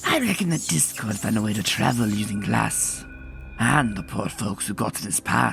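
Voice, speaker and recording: Low-pitched cartoonish character voice at a moderate pace, clear background noise behind it. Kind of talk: campfire ghost story. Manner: drawling, folksy.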